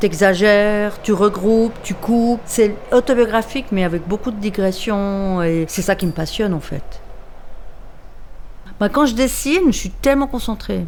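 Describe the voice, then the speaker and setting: Speaking at a fairly slow pace, a woman uses an unremarkable speaking voice at a medium pitch with ordinary pitch variation. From Switzerland, Lausanne (Vaud). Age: 60s. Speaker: comic book artist. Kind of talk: documentary interview. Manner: casual, slangy.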